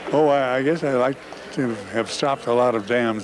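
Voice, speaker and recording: With noticeable background noise behind him, a man of medium pitch talks at a moderate pace with fairly even intonation. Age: 80s. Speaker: environmental activist. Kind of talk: interview. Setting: convention floor.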